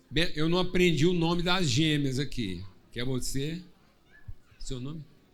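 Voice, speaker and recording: A fairly high-pitched man at a fairly slow pace, with audible room echo. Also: long, frequent pauses. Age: 60s. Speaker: pastor. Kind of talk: church service hosting, casual joking; prayer.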